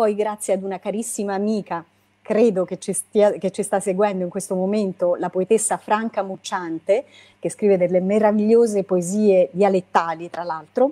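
The voice has a dark, mellow tone. Its intonation is fairly even. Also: woman, medium pitch for a woman, moderate pace. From Italy, L'Aquila (Abruzzo); Abruzzo, Italy. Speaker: poet and lawyer; poetry book author. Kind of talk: book presentation interview; interview answer. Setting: video call. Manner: halting. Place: home room. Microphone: video call.

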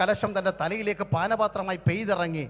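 The speaker is a man. There is ordinary pitch variation in his voice. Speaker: pastor. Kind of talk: sermon. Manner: animated. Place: stage. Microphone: handheld.

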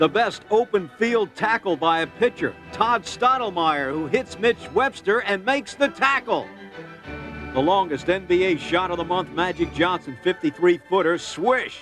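A man talks at a moderate pace in a dry recording with no echo, with clear music playing behind him. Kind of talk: sports highlight commentary.

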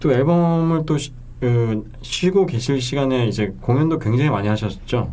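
Using an ordinary speaking voice, a man of medium pitch talks at a fairly slow pace with lively intonation and very even loudness. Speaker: radio host. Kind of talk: casual interview chat. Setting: studio.

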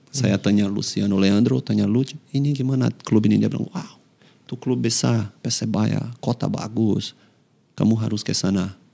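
Speaking at a moderate pace, a man has a fairly low pitch and a dark, mellow tone, with ordinary pitch variation. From Brazil, Fortaleza; Brazil. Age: 30s. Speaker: professional footballer; guest. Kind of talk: casual interview. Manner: halting. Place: studio. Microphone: studio mic.

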